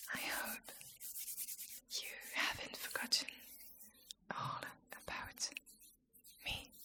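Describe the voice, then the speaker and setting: Very slow whispering from a woman. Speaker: ASMR creator. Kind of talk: ASMR chat video. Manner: whispered, soft-spoken.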